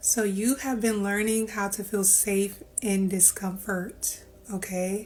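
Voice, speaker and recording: A woman at a medium pitch, monotone and flat, at a very slow pace. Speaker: tarot reader. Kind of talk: tarot reading. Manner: projecting, louder than before; casual, filler-heavy.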